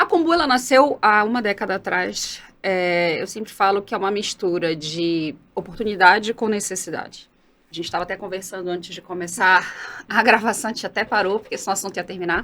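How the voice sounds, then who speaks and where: Over a silent background in a very clean recording, a woman speaks at a fairly quick pace and medium pitch, her tone bright and sharp with ordinary pitch variation. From Brazil, Belém (Pará). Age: 40s. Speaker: entrepreneur. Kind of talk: interview conversation.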